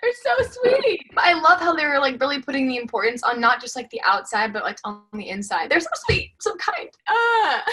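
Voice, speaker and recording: A woman with an American accent projects a raised, high voice with very wide pitch swings. She barely pauses, and her loudness shifts in big swings. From US South. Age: 20s. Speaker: model. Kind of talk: casual chat. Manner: fast.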